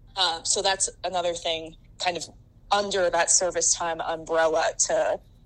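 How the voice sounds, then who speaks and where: Someone with an American accent speaks at a fairly slow pace against noticeable background noise. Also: woman. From US Pacific Northwest, Seattle. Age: 20s. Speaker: sports writer. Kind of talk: podcast interview.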